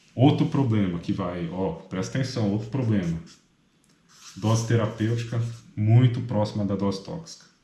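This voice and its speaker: A man's fairly low voice at a moderate pace, broken by long, frequent pauses, with audible room echo. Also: ordinary pitch variation. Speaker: medical student tutor. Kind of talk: study review lecture. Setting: apartment at night. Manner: soft-spoken; casual.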